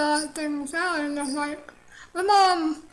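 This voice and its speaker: A woman talks at a fairly slow pace in a high pitch. The room echo is audible. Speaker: vlogger sharing personal story. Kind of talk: personal testimony monologue. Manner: halting, frequent pauses; hesitant, many fillers.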